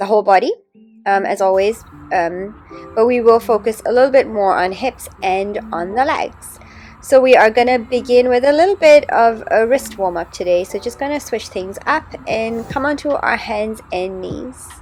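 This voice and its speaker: A woman at a fairly high pitch, moderate in pace, with lively intonation and music in the background. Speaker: yoga teacher. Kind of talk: casual talk to camera.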